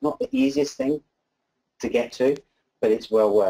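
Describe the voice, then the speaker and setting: A man with a dark, mellow tone. He speaks at a moderate pace. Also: quiet background. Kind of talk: presentation talk. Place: meeting room.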